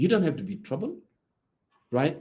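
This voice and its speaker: A man speaks in an African accent with a dark, mellow tone. His pitch swings very widely. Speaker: political commentator. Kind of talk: political talk in a live audio room. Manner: code-switching Arabic and English.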